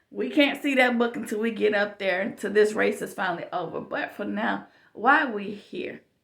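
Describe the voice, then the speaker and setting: Using vocal fry, a woman speaks at a moderate pace in a fairly high pitch with ordinary pitch variation. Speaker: YouTube vlogger. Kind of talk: casual monologue. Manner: loud; chatty, informal.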